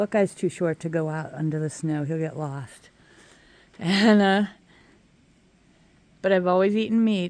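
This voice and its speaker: A woman speaks in a normal speaking voice, fairly low-pitched with ordinary pitch variation, on a very clean recording with a silent background. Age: 60s. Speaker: vlogger. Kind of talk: casual monologue. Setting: outdoors. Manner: relaxed.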